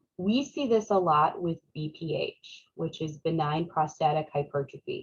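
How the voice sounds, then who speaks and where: Somewhat breathy, a woman speaks at a fairly low pitch with lively intonation. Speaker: nursing instructor. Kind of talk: lecture. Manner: casual, conversational.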